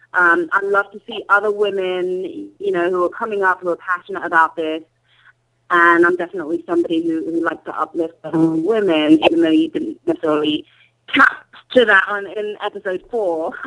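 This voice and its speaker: With an English accent, a woman talks at a medium pitch. She moves at a fairly quick pace, with ordinary pitch variation. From England. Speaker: journalist and reality TV personality. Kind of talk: interview.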